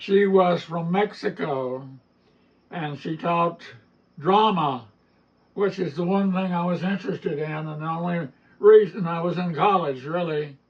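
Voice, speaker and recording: Speaking in an Appalachian accent, a man with a high pitch moves at a fairly slow pace, using ordinary pitch variation and long, frequent pauses. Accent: Appalachian mountain. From Appalachian mountains, US South. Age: 80s+. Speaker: storyteller and author. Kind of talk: storytelling interview at literary festival.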